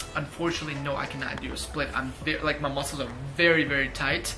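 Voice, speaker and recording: Moderate pace with music in the background. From Ukraine, moved to US at ten. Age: 20s. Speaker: fitness youtuber. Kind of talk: casual Q&A vlog.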